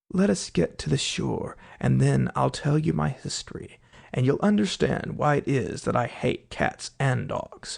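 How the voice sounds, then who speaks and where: Putting on a shaky character voice, a man speaks at a moderate pace. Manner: trembling, pale with passion.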